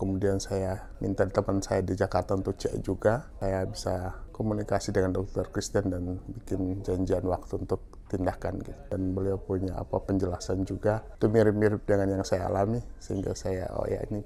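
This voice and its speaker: Hardly any pauses break up speech delivered at a moderate pace. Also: man. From Maluku, eastern Indonesia. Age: 60s. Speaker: patient. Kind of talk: testimony. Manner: hesitant, with fillers.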